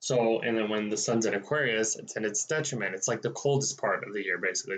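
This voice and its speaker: The man talks at a very fast pace, his medium pitch showing ordinary variation. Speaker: astrologer. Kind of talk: solo monthly forecast video, casual explanation. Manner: casual with many fillers (um, like, you know); stammering at times.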